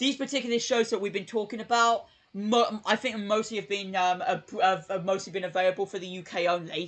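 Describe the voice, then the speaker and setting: Speech comes at a fairly quick pace in a British accent, with hardly any pauses. The background is quiet. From UK. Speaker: YouTuber streaming live. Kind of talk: casual live stream chat. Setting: live stream. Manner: hesitant, many fillers.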